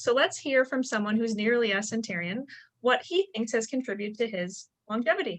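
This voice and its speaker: A woman with a normal speaking voice talks at a fairly quick pace in a fairly high pitch with lively intonation. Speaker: podcast host. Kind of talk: podcast intro.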